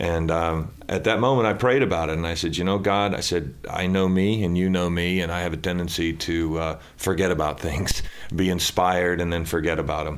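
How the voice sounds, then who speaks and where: With noticeable background noise behind him, a man with a very deep, low pitch talks at a fairly quick pace, fairly even in intonation and with hardly any pauses. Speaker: news anchor. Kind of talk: casual interview. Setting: studio.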